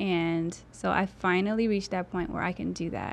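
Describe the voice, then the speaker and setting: A woman speaks at a fairly quick pace. Behind her the background is quiet. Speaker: model and financial advisor. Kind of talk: casual interview.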